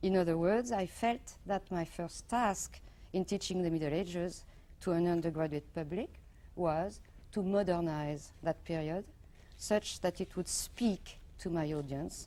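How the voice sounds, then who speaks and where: In a dark, mellow tone, a woman speaks fairly slowly at a fairly low pitch, varying it an ordinary amount. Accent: French. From Morocco and France. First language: French. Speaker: professor. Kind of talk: lecture. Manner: formal.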